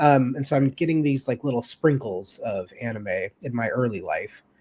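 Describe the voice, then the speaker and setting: In a very clean recording with a silent background, a man with an American accent and a normal speaking voice talks at a fairly high pitch with ordinary pitch variation. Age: 30s. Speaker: anime fan guest. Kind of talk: casual chat.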